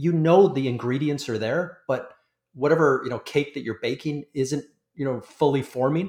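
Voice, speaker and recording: A man with a Canadian accent and an ordinary speaking voice, fairly high pitch, ordinary pitch variation, moderate pace. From Canada. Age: 40s. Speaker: industry analyst. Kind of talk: interview.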